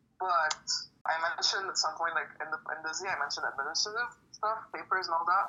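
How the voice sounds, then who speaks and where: Over noticeable background noise, the voice moves at a very fast pace with ordinary pitch variation. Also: woman, fairly low pitch for a woman. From Lebanon. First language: French. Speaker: poet. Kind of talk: casual interview.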